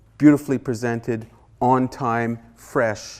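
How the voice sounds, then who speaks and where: A man with a Canadian accent speaks at medium pitch and a moderate pace, monotone and flat. The recording is very clean with a silent background. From Haida Gwaii, British Columbia, Canada. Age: 60s. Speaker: artist and author. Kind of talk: guest lecture. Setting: university classroom. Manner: impassioned.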